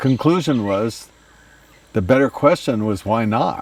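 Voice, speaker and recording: A man is speaking. There is noticeable background noise behind him. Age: 80s+. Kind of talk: interview answer. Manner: hesitant, reflective.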